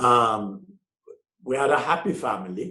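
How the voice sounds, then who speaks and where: There is audible room echo in this clip. The speaker is a man. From Jamaica. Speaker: businessman and author. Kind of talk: interview. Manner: halting.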